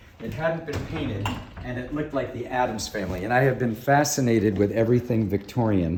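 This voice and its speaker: There is audible room echo and noticeable background noise. A man speaks at a medium pitch. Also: ordinary pitch variation, fairly quick pace. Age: 60s. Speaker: shop owner giving a house tour. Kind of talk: casual chat.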